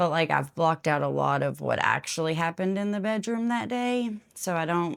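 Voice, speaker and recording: A woman speaks with a fairly low pitch and lively intonation, recorded very cleanly against a silent background. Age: 30s. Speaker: testimony speaker. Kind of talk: testimony. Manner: halting.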